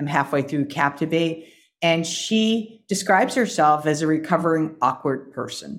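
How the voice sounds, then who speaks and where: A woman speaks with a very deep, low pitch and ordinary pitch variation at a moderate pace. The recording is very clean, with a silent background. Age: 50s. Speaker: career coach for executives. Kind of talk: interview conversation.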